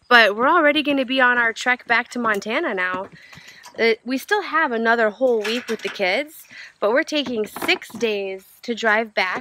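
A woman speaks in a dry recording with no echo. Light background noise is audible. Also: ordinary pitch variation, moderate pace. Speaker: RV travel vlogger. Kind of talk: casual vlog chat. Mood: cheerful and excited. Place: open country. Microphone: phone near.

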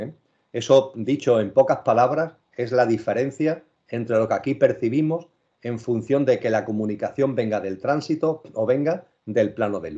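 The background is quiet as a man speaks at a moderate pace. His tone is dark and mellow, with ordinary pitch variation. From Spain. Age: 60s. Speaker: spiritual speaker; speaker. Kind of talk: interview. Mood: calm, earnest. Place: home room. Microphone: video call.

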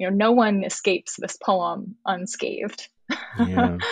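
A woman with an American accent, somewhat breathy and medium in pitch, at a fairly slow pace, in a dry, close sound with no echo. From US South, Birmingham, Alabama. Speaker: poet. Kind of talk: casual chat about poetry.

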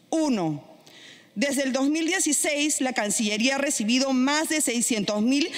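A woman speaks at a high pitch. Her intonation is lively. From Peru. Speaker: congresswoman. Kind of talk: parliamentary speech. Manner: formal. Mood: combative, indignant. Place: hall. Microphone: podium.

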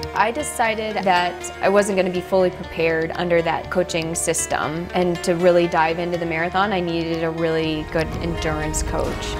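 A woman at a fairly low pitch, fairly even in intonation, at a moderate pace with hardly any pauses, over clear music in the background. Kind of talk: interview answer. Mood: calm reflective. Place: home room.

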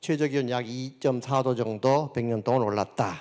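A man with a dark, mellow tone speaks over a quiet background. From South Korea. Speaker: agricultural engineering professor. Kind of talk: lecture. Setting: conference hall with audience. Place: hall. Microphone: handheld.

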